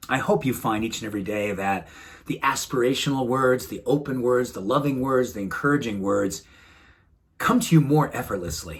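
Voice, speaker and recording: Speaking at a moderate pace, a man with a warm tone and a medium pitch moves through very wide pitch swings. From New England. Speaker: wellness doctor. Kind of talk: motivational talk to camera. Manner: warm, earnest.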